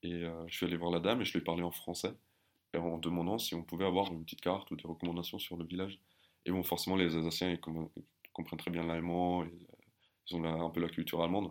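Very deep and low, a man's voice moves at a very fast pace. His intonation is monotone and flat. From Germany, with 11 years in France. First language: German (speaking French). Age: 20s. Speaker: army officer. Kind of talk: casual interview. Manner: hesitant, many repeated words.

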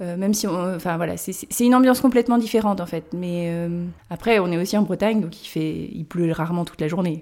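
Dark and mellow in tone, a woman speaks fairly quickly at a fairly low pitch with ordinary pitch variation. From Brittany, Erquy area (Côtes-d'Armor). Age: 30s. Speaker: treehouse rental owner. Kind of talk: interview.

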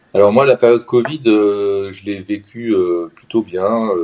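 Fairly even intonation marks this man's fairly low-pitched speech. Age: 50s. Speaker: professional coach, former consultant. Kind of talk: interview testimony. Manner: halting, many hesitations.

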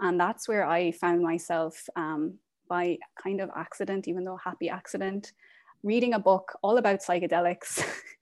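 A woman's medium-pitched voice in an Irish accent, with a quiet background. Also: fairly even intonation, moderate pace. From Ireland. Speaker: end-of-life doula and yoga teacher. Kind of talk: interview.

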